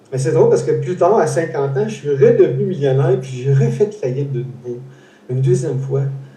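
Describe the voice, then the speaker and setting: A man talks at a fairly quick pace with a fairly high pitch. Room echo is audible. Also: ordinary pitch variation. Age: 60s. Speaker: interview host, foundation founder. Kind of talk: casual interview. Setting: live stream. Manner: halting, many repetitions.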